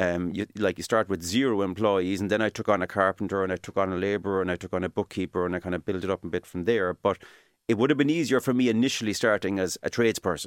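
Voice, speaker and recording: Speaking very fast with a Cork accent, a man with a fairly low pitch comes through dry and close with no echo on a very clean recording with a silent background. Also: ordinary pitch variation. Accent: Cork Irish. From Ireland, East Cork (Midleton). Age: 40s. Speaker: engineer and home builder. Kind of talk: interview.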